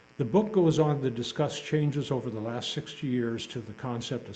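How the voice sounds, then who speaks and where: With audible room echo, a man talks at a moderate pace in a medium pitch, with a dark, mellow tone and lively intonation. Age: 70s. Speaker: lay speaker. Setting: congregation service. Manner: formal.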